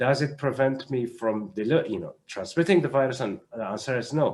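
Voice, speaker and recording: With an Arabic accent, a man speaks at a moderate pace, his fairly high pitch carrying lively intonation. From Syria. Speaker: doctor and humanitarian health adviser. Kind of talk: panel discussion. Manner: halting.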